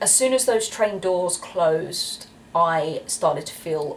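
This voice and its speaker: The speaker has a British accent. Noticeable background noise can be heard. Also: woman. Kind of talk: casual talk to camera.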